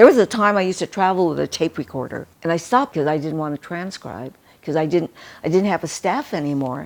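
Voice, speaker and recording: Fairly low-pitched woman's voice in a Pacific Northwest accent, fairly quick and with lively intonation. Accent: American, Pacific Northwest. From Seattle, US Pacific Northwest. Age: 80s+. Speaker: historian and founder of a historical society. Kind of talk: interview.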